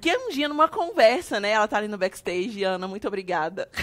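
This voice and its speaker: A woman is speaking. Her intonation is lively. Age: 30s. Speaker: podcast host, church minister. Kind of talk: casual chat.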